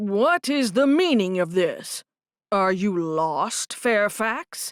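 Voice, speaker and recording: A loud, booming put-on character voice at a very slow pace with very wide pitch swings, dry and close with no echo, in a very clean recording with a silent background. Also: woman, medium pitch for a woman. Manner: stern, demanding.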